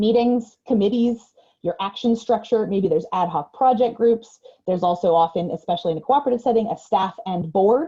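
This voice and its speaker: A woman talks at a very fast pace in a dark, mellow, somewhat breathy tone with ordinary pitch variation. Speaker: trainer. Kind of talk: webinar lecture.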